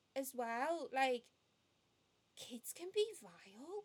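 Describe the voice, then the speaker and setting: In a Liverpool accent, the speaker uses lively intonation. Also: woman. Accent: Scouse (Liverpool). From Liverpool, England. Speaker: podcast co-host, marketing professional. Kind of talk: casual chat.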